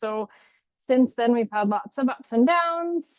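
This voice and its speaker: Speaking at a moderate pace, a woman talks with a Canadian accent. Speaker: clinician and parent. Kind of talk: educational webinar presentation. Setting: video call. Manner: sometimes mumbling, hesitant.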